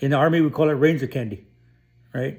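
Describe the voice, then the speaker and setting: On a very clean recording with a silent background, a man with a fairly high pitch and a dark, mellow, somewhat breathy tone talks at a fairly quick pace with ordinary pitch variation. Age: 50s. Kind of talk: personal vlog monologue. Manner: casual, with many fillers and repetitions.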